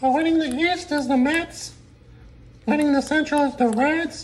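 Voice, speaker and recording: A cartoonish character voice with a high pitch moves along at a moderate pace. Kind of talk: sports talk show banter. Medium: puppet.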